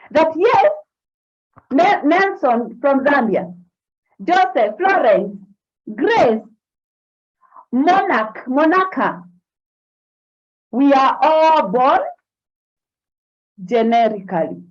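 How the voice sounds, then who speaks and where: A woman speaks very slowly in a high voice, her pitch swinging very widely. Long, frequent pauses break her speech, and the room echo is audible. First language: not English. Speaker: forex trading and mindset coach. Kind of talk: online class on a live stream. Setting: live stream on social media. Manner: animated.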